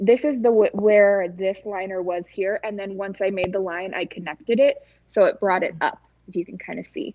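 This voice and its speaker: A woman's medium-pitched voice with ordinary pitch variation and big swings in loudness. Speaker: makeup artist. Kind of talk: tutorial. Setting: live stream. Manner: fast.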